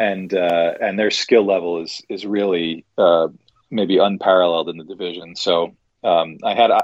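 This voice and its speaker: Here is an ordinary speaking voice from a man with an American accent and a fairly low pitch. He talks at a moderate pace with fairly even intonation. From New York area. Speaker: hockey journalist. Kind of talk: interview.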